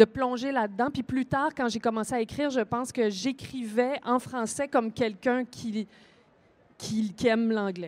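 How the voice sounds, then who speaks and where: At a fairly slow pace, a woman speaks with a fairly high pitch. Her intonation stays fairly even. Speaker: author. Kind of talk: panel discussion. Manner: hesitant, many fillers.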